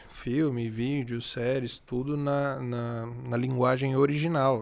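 On a very clean recording with a silent background, a man holds a monotone, flat intonation at a medium pitch. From Tocantins, Brazil. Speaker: music startup founder, former sertanejo singer. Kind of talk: casual chat.

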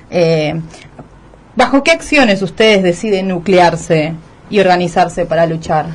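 Against noticeable background noise, a woman of medium pitch speaks at a moderate pace with ordinary pitch variation. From Argentina (raised there, born in Bolivia). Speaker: radio host. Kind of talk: radio interview.

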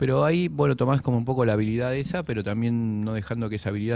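Talking at a very fast pace, a man uses a dark, mellow tone with ordinary pitch variation. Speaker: writer and poet. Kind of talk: casual interview.

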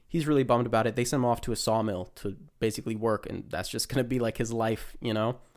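On a very clean recording with a silent background, a man with a medium pitch and fairly even intonation speaks at a very fast pace. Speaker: podcast co-host. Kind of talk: casual chat.

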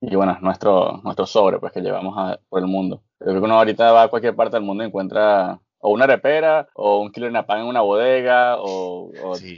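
With an ordinary speaking voice, a man talks at a fairly low pitch with ordinary pitch variation and hardly any pauses. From Venezuela, Barquisimeto (Lara). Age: 20s. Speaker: chef. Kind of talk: casual interview.

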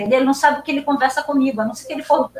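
A woman's high voice with lively intonation over noticeable background noise. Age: 70s. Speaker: professor and researcher. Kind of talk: interview conversation about philosophy.

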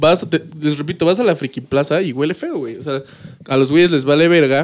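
This man speaks with a fairly high pitch. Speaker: podcast host. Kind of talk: casual chat. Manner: animated.

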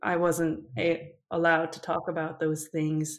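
A speaker with a Korean accent is heard in a very clean recording with a silent background. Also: woman. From South Korea. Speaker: PhD student and mental health advocate. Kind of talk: interview.

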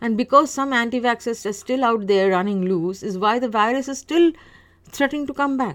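A woman's fairly high voice at a fairly quick pace, with ordinary pitch variation. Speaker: solo podcaster. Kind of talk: casual monologue. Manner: halting, many fillers.

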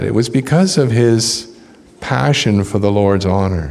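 Over noticeable background noise, a man speaks with ordinary pitch variation. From British Columbia, Canada. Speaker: visiting preacher. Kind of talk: sermon. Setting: church.

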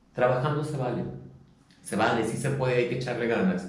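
Recorded with audible room echo, a man speaks at medium pitch with ordinary pitch variation. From Mexico City. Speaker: international trade professional and former professor. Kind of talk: casual interview chat.

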